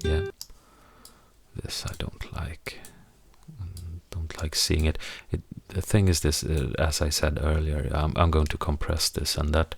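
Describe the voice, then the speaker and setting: A man with a Swedish accent talks fairly slowly, with long, frequent pauses. His very deep, low voice is somewhat breathy, and his intonation is monotone and flat. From Sweden. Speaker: musician and audio editing tutor. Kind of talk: tutorial. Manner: halting.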